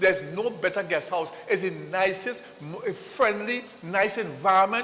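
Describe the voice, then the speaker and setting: Animated in tone, a man with a Trinidadian accent speaks with ordinary pitch variation over noticeable background noise. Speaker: TV host. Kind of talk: live ad read. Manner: repetitive, stammering.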